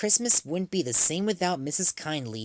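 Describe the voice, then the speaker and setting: This is a put-on character voice at middle pitch. It moves at a moderate pace. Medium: read story.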